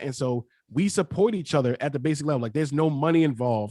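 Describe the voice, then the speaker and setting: In a dry, close sound with no echo, a man with an American accent talks in an animated tone at a very fast pace. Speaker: podcaster. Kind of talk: panel discussion.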